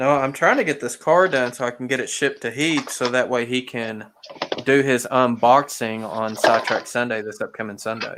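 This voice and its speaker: A man in a Southern US accent speaks at a medium pitch and a moderate pace, his intonation fairly even. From Arkansas, US South. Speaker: model train hobbyist host. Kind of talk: casual livestream chat. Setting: live video stream.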